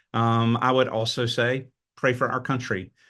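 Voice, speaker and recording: A man's medium-pitched voice with a Southern US accent, over a quiet background. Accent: Southern US, noticeable. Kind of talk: webinar presentation. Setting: webinar.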